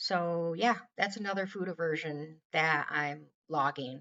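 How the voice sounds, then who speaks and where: A woman's very deep, low voice with vocal fry, ordinary pitch variation and an American accent. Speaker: weight loss vlogger. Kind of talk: casual vlog monologue. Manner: slow.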